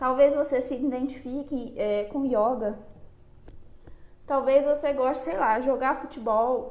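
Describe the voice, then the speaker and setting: A woman's high-pitched voice at a fairly slow pace, with fairly even intonation, long and frequent pauses, and audible room echo. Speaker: psychologist. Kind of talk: live stream talk on anxiety. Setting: online live stream. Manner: conversational, addresses audience.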